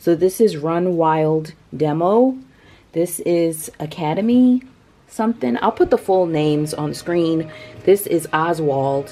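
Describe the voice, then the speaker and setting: A soft-spoken woman with a fairly low pitch talks at a very slow pace, her intonation lively. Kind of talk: casual DIY talk to camera.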